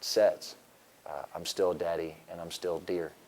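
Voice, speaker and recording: Through noticeable background noise, a man with an American accent speaks in a very deep, low pitch at a moderate pace with monotone, flat intonation. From US South (Florida panhandle). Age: 30s. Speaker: teacher and football coach. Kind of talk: interview.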